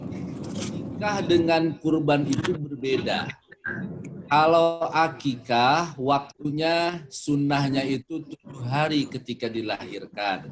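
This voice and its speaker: Very slow speech from a man, fairly high in pitch, with ordinary pitch variation. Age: 40s. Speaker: Islamic preacher. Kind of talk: religious talk with Q&A.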